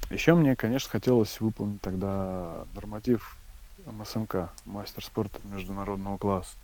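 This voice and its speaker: A man speaks at a moderate pace in a fairly low voice with ordinary pitch variation. His tone is dark and mellow. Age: 30s. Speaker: ultramarathon runner. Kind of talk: interview. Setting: internet call. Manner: halting, with repetitions and fillers.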